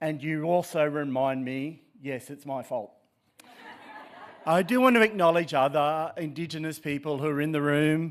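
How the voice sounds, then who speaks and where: This man speaks with an Australian accent and a fairly high pitch. His pace is moderate and his pitch variation ordinary. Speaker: professor. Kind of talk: keynote speech. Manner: halting, many fillers.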